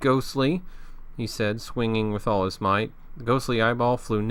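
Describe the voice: The pitch varies in an ordinary way. It is plain reading aloud.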